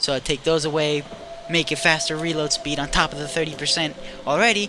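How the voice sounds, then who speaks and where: This man's voice sits at a fairly high pitch. Background noise is noticeable. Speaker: gaming streamer. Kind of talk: casual gameplay commentary. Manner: rambling, scatterbrained; halting, stuttering.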